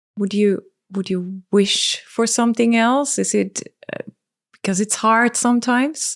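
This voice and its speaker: Fairly slow and fairly high-pitched, a woman speaks. Her intonation is fairly even. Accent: non-native. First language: not English. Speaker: podcast host. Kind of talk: casual chat.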